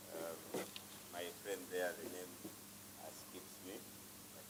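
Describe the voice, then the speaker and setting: A man speaks at a very deep, low pitch. Audible room echo and noticeable background noise surround him. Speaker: youth organization executive director. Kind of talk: opening remarks speech. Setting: conference room without microphone. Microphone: no microphone, switched off.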